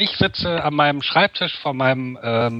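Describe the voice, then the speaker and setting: Fairly high-pitched and fairly quick, an ordinary speaking voice from a man, with ordinary pitch variation. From western Germany, Rhineland (Wuppertal/Cologne area). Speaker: podcast guest. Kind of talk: casual chat.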